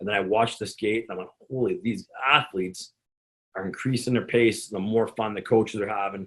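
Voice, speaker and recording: Speaking fairly quickly with fairly even intonation, a man talks in a Canadian accent. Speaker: strength and conditioning coach. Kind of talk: presentation. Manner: halting.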